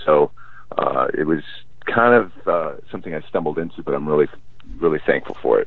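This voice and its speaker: Noticeable background noise sits behind a man speaking with an American accent. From Los Angeles, California. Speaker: musician, singer. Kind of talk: interview chat.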